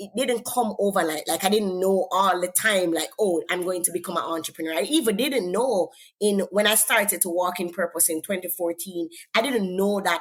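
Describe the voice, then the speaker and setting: The speaker has a Jamaican accent. The intonation stays fairly even. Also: woman. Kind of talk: interview testimony.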